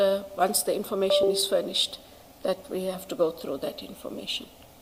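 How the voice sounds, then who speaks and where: Fairly quick speech from a woman at medium pitch, with ordinary pitch variation and noticeable background noise. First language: not English. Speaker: witness, senior investigative official. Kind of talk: testimony under questioning. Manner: halting.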